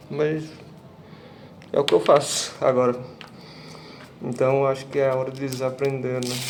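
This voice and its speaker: With noticeable background noise, a man at medium pitch speaks at a moderate pace in a monotone, flat intonation, leaving long, frequent pauses. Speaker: vlogger. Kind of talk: casual vlog monologue.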